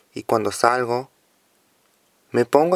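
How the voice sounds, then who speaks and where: Recorded with a dry, close sound and no echo, a man speaks at a fairly slow pace in a medium pitch with fairly even intonation. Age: 20s. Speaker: young person sharing drug use experience. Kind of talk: testimony.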